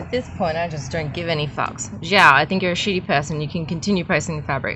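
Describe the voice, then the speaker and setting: Speaking in an Australian accent, a woman keeps a moderate pace. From Australia, Bulgarian migrant family. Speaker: artist vlogger. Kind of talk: casual vlog. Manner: animated.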